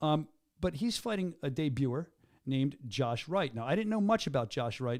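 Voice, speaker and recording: With a Philadelphia accent, a man talks at a moderate pace in a fairly high pitch that swings very widely, captured in a very clean recording against a silent background. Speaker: combat sports show host. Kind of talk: casual chat. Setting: studio. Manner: animated.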